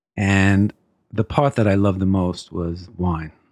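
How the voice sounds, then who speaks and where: With an American accent, a man speaks at a fairly slow pace in a very deep, low pitch and fairly even intonation against a quiet background. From New York, Brooklyn. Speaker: wine importer sales executive. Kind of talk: interview.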